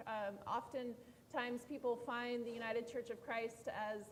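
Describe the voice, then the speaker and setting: Amid noticeable background noise, a woman with a fairly high pitch speaks at a fairly slow pace. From California. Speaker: pastor. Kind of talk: panel introduction.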